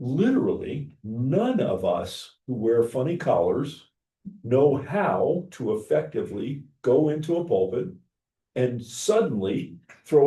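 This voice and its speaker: His voice is fairly high for a man, with a dark, mellow tone and vocal fry. The pitch swings very widely. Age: 70. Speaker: pastor. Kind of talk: class discussion.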